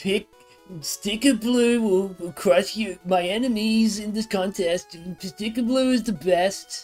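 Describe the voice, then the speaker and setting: Faint music plays behind a put-on character voice that sounds strained, pitched fairly high and delivered at a fairly slow pace. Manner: bragging, silly.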